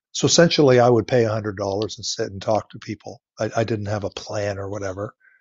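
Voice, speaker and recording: Speaking in a normal speaking voice, a man with fairly low pitch talks at a fairly quick pace with ordinary pitch variation and hardly any pauses. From Ontario, Canada. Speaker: veterinarian and flower farmer. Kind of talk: interview.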